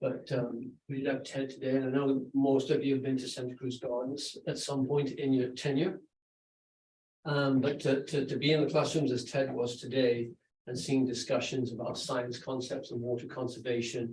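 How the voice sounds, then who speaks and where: A man with a somewhat breathy voice speaks at medium pitch and a moderate pace, his intonation monotone and flat. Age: 60s. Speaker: school principal. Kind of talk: presentation at a school board meeting.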